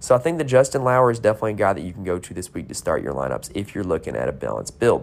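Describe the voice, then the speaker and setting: A man with vocal fry and a fairly low pitch talks at a very fast pace with hardly any pauses, very wide pitch swings and big swings in loudness. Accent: American. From North Carolina. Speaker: sports betting podcaster. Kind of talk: solo podcast preview. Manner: casual, filler-heavy.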